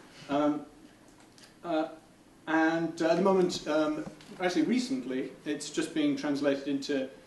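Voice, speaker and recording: Audible room echo surrounds a man's voice. He talks at a moderate pace with fairly even intonation. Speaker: game developer giving a talk. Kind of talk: conference presentation. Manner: halting, many fillers.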